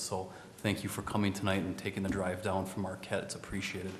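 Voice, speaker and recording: A man's fairly low voice at a fairly quick pace, with noticeable background noise and audible room echo. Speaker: city attorney at council meeting. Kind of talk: council meeting remarks. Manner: quiet, soft-spoken.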